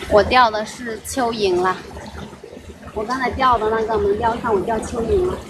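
Over noticeable background noise, a woman with a fairly high pitch talks at a moderate pace with ordinary pitch variation and long, frequent pauses. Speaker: fishing livestreamer. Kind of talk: casual live-stream chat while fishing. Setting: outdoors by a river, live stream. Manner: chatty, laughs often.

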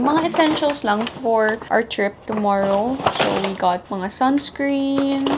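Over loud background noise, the speech moves at a fairly slow pace. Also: woman. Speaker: lifestyle vlogger. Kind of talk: casual vlog chat. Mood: cheerful, laughing. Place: home room. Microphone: lapel.

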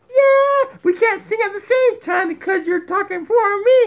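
The voice is put-on and characterlike, pitched extremely high. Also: fairly slow pace. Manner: playful, cheeky.

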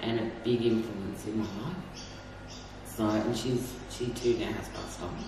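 Noticeable background noise and audible room echo surround a woman who talks at a moderate speed. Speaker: interviewee. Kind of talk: interview answer. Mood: reflective, somber. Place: office.

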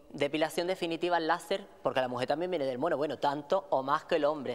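A woman speaks with ordinary pitch variation. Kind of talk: theatrical monologue to audience. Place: stage.

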